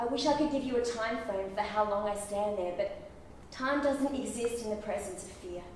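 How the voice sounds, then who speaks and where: With audible room echo and light background noise, a woman speaks at a moderate pace with ordinary pitch variation. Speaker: actor performing a monologue. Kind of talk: theatrical monologue, confessional and intense, spoken straight to a listener. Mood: intense, emotional. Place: stage. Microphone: camera far.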